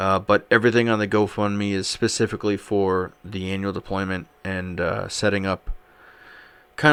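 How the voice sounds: A man talks at a moderate pace in a clear, smooth tone.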